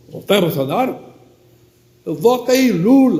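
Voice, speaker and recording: A man's voice moves in very wide pitch swings, with audible room echo around it. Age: 80s+. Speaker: priest. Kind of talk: sermon.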